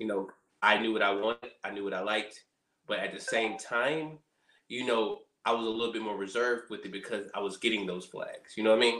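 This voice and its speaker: This man talks at a fairly quick clip, his tone bright and sharp. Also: medium pitch for a man, fairly even intonation. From Alabama (Montgomery). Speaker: reality TV contestant. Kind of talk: interview.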